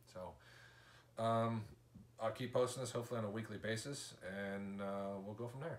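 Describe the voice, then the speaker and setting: The speaker keeps a moderate pace. Intonation stays fairly even. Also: man. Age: 40s. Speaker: vlogger, injured father; vlogger. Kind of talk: casual video diary. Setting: hospital room. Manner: halting, many fillers. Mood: calm, matter-of-fact. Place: home room. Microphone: camera far.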